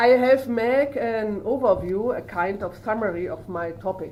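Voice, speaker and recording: With a German accent, a woman with a fairly high pitch speaks at a fairly slow pace, using lively intonation amid audible room echo. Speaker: professor of social work. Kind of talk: lecture. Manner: halting.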